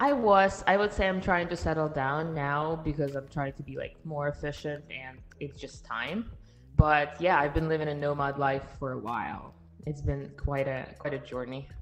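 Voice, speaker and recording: With music in the background, a woman with a very deep, low pitch speaks at a moderate pace and with ordinary pitch variation. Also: big swings in loudness. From Russia, Siberia. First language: Russian. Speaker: passport and residency consultant. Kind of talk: podcast interview. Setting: live stream.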